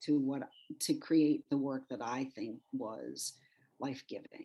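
A woman with a Midwestern US accent, at a very slow pace. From Michigan. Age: 60s. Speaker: former TV journalist turned sculptor. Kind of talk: interview. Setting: podcast.

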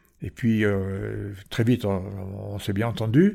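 A man speaks at medium pitch with a dark, mellow tone. The recording is very clean with a silent background. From Provence, France (Marseille and Porquerolles). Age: 80s+. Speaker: retired island resident, former lifeboat coxswain. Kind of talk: interview. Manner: halting, with repetitions.

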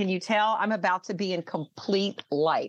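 Using a plain, everyday voice, a woman with an American accent speaks at a fairly slow pace and medium pitch, with ordinary pitch variation. The sound is dry and close, with no echo. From US South. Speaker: speaking coach and author. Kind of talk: interview.

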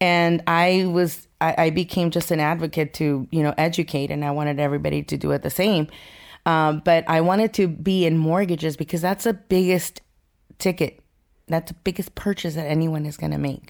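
In a very clean recording with a silent background, a woman with an American accent speaks at a moderate pace. She has a plain, everyday voice, pitched fairly low, with fairly even intonation. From Mexico (Durango) and Los Angeles. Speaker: mortgage branch manager. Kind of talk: interview.

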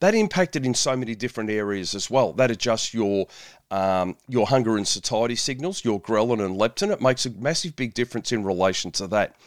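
A man with an Australian accent at a fairly quick pace and medium pitch, ordinary pitch variation, in a dry, close, very clean recording with no echo and a silent background. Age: 50s. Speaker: podcast host, nutritionist and police officer. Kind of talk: solo podcast monologue.

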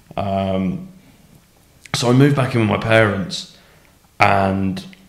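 A man's fairly low voice is heard with audible echo from the room. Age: 30s. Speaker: amateur rugby league player. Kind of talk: personal testimony in casual interview.

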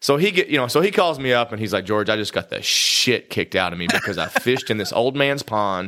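A man with a Kentucky accent at medium pitch, lively intonation, a very fast pace and hardly any pauses, over noticeable background noise. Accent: Kentucky Southern US. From Eastern Kentucky. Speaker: podcast co-host. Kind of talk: casual chat.

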